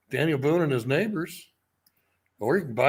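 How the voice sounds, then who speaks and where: A man's fairly high-pitched voice with lively intonation, on a very clean recording with a silent background. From US Midwest. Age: 60s. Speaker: book publisher. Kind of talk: casual chat.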